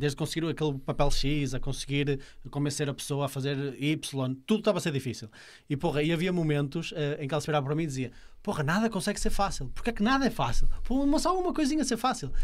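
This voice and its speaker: A fairly high-pitched man talks at a very fast pace with lively intonation. The background is quiet. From Portugal. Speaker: podcast host. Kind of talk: casual chat. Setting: studio. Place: studio. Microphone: studio mic.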